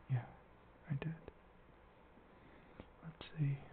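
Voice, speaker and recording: A soft-spoken man. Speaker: ASMR gaming channel host. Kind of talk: casual gameplay commentary.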